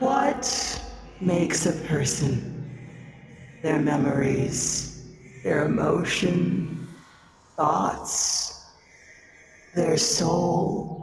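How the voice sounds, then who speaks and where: A man puts on a raspy character voice at a fairly high pitch, speaking at a very slow pace with long, frequent pauses amid clear echo. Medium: audio drama. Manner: calm, condescending.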